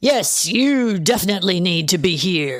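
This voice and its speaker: A put-on character voice, booming and growling, female-sounding at a middle pitch, at a moderate pace. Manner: authoritative.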